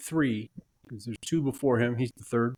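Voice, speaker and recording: A man speaks with an American accent. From United States. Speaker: podcast host and game umpire. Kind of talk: interview.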